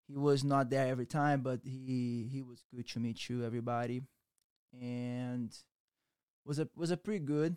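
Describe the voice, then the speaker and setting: On a very clean recording with a silent background and a dry, close sound with no echo, a man with a Brazilian accent and a medium pitch speaks at a moderate pace with fairly even intonation and long, frequent pauses. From Brazil, Rio de Janeiro. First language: Portuguese. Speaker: jiu-jitsu instructor. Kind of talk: casual interview chat.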